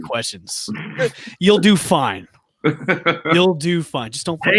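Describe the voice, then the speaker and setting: A man talks at a very slow pace with a high pitch, lively intonation and big swings in loudness. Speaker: podcast host.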